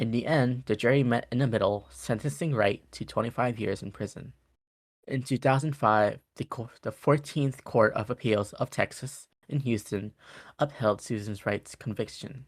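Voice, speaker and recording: A man speaks at a moderate pace and medium pitch, with ordinary pitch variation. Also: very clean recording, silent background. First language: not English. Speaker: podcast co-host. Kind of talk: reading case notes aloud. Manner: halting.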